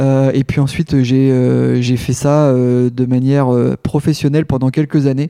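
The man speaks at medium pitch and a fairly slow pace. His intonation stays monotone and flat. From Normandy, France (Rouen). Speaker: canicross champion athlete. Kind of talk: interview, casual chat. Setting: at his home.

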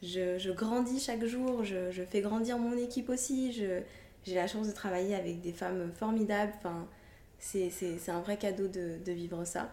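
At a fairly slow pace, a woman talks with medium pitch and ordinary variation. Her tone is dark and mellow, with audible room echo around it. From Guadeloupe (childhood to age 9). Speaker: hairdresser and brand founder. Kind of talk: interview.

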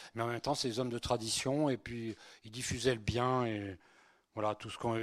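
In a very clean recording with a silent background, a man of medium pitch speaks at a moderate pace with fairly even intonation. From Spain, then France from childhood. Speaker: priest. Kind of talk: lecture. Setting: conference hall with audience. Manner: conversational, hesitant with fillers.

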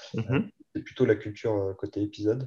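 A man speaks slowly-ish in a fairly low pitch, his tone dark, mellow and somewhat breathy. His intonation stays fairly even against a quiet background. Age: 40s. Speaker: IT director. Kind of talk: interview. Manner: hesitant, many fillers and repetitions.

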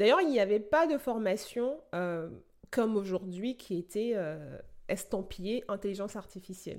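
A woman with an ordinary speaking voice, medium pitch, lively intonation and a fairly slow pace, on a very clean recording with a silent background. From Benin. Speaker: podcast host and AI researcher. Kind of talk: podcast introduction monologue.

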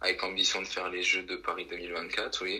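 A man's voice over noticeable background noise. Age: 20s. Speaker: trampoline athlete and engineer. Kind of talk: interview. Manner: halting, many fillers and repetitions.

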